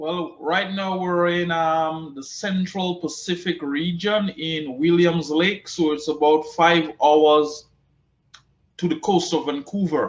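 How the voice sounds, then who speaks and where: A man talks very slowly in a Caribbean accent. His pitch is high and his intonation fairly even. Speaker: cannabis agriculture expert and business owner. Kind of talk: interview. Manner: repeats words often.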